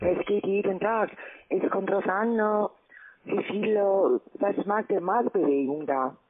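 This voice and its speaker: The speaker talks very slowly with a non-native accent and ordinary pitch variation over light background noise. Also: woman. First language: not German (speaking German). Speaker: scam call center agent. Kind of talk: sales pitch. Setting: phone call. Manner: halting. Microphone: phone line.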